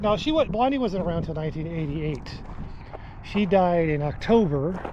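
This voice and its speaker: A man talks at a moderate pace with a high pitch and ordinary pitch variation. Noticeable background noise and audible room echo are present. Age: 60s. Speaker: hiking vlogger. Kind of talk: casual monologue.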